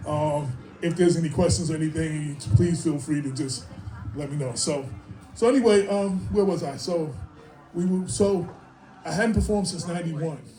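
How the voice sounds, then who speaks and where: Over music in the background and audible room echo, a man with a New York accent uses lively intonation and long, frequent pauses. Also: fairly high pitch for a man, moderate pace. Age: 60s. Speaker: hip-hop artist and writer. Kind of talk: speaking engagement. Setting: stage with audience. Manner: casual, rambling.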